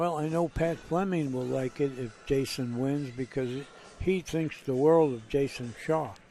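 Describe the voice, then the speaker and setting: A plain, everyday voice at a fairly slow pace with ordinary pitch variation. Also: man, fairly high pitch for a man. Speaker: pool commentator. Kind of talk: live commentary.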